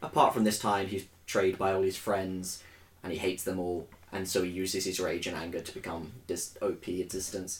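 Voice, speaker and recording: At a moderate pace, a man speaks in a very deep, low, somewhat breathy voice that stays monotone and flat. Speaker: podcast host. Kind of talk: casual chat.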